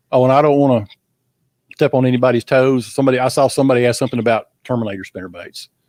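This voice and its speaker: The sound is dry and close, with no echo, as a man speaks in a Southern US accent. He goes at a very fast pace with fairly even intonation. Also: medium pitch for a man. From Texas. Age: 60s. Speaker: veteran bass angler. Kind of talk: casual chat.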